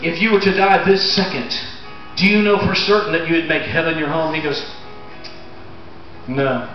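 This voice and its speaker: Over faint music and audible room echo, a man speaks at a moderate pace in a high pitch with ordinary pitch variation and long, frequent pauses. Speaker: pastor. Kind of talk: sermon to a congregation. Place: tent. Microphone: camera far.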